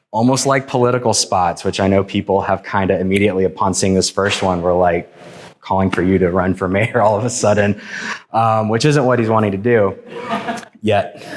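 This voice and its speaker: Fairly low male voice at a fairly quick pace, very even in loudness, over noticeable background noise. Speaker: filmmaker and artist presenting a project. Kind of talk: public talk to an audience. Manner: casual, hesitant with many fillers.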